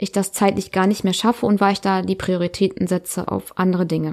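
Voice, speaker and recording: Here is a woman with an unremarkable speaking voice at a medium pitch and moderate pace. The recording is very clean, with a silent background. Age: 30s. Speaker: podcast host, self-employed mother. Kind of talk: personal monologue. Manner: casual, filler-heavy.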